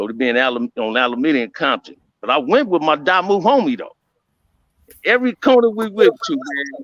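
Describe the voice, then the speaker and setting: This man talks at a fairly quick pace in a high pitch with very wide pitch swings, and the sound is dry and close with no echo. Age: 60s. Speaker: former gang member. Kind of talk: casual chat.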